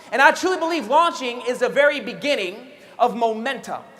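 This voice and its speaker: A man speaks in a raised, projected voice with an extremely high pitch, an animated tone, lively intonation and a fairly quick pace. Audible room echo and noticeable background noise surround him. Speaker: network marketing trainer. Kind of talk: motivational training talk. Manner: fast.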